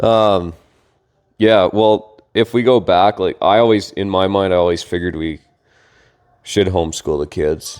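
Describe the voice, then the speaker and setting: At a fairly slow pace, a man with a fairly low pitch and ordinary pitch variation speaks with long, frequent pauses. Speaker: podcast co-host, homeschooling father. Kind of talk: casual chat. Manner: loud.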